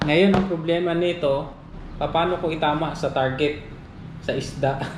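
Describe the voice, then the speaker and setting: Noticeable background noise sits behind a man with a fairly high voice. He talks at a fairly slow pace with fairly even intonation and very even loudness. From Negros Island, Philippines. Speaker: fishing and outdoor vlogger. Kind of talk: casual talk to camera.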